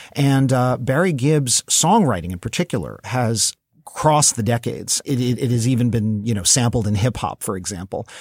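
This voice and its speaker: In a normal speaking voice, the speaker moves at a moderate pace with hardly any pauses and lively intonation. The very clean recording has a silent background and a dry, close sound with no echo. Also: man, medium pitch for a man. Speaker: podcast host, pop chart historian. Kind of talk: casual chat. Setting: studio.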